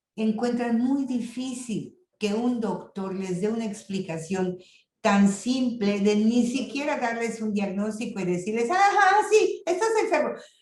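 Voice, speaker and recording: In a room with audible echo, a woman talks at a fairly slow pace with lively intonation. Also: fairly high pitch for a woman. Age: 70s. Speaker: lecturer on intercultural health. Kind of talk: lecture.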